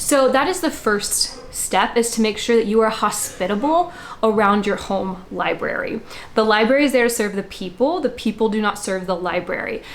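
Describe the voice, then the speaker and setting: Through noticeable background noise, a woman speaks with a fairly high pitch and lively intonation. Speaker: homeschooling mother and education channel host. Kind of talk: casual tutorial talk to camera. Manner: fast talker; animated.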